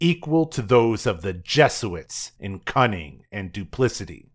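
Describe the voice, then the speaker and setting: In a very clean recording with a silent background, a man with an ordinary speaking voice talks at a fairly slow pace with lively intonation. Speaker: podcast host and writer. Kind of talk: history documentary narration, scripted. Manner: formal, measured; steady, informative.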